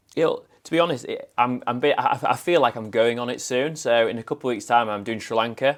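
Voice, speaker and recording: With a northern English accent, a man talks at a very fast pace with hardly any pauses, his medium pitch showing ordinary variation. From northern England, Scarborough, Yorkshire. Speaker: events industry professional. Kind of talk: podcast interview.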